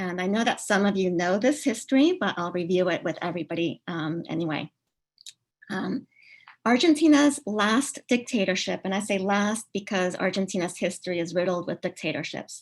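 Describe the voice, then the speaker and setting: A woman speaks with a Spanish accent at a medium pitch. Her pace is moderate and her intonation lively. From Uruguay, then Maryland in high school. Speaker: professor. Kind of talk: online lecture. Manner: many filler words (um, uh).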